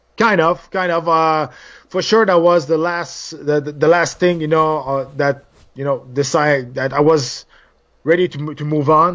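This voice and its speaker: This man has a Quebec accent and a fairly high voice. He speaks at a fairly slow pace. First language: French. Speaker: former MMA fighter and TV analyst. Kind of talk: interview. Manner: animated.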